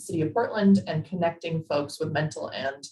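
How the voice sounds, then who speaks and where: A woman's somewhat breathy voice sits at a fairly low pitch. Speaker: policy advisor. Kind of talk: presentation in virtual meeting. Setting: video call.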